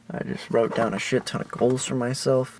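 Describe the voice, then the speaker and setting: Fairly quick pace amid noticeable background noise. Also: man. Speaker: vlogger. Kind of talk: casual monologue. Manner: casual, filler-heavy.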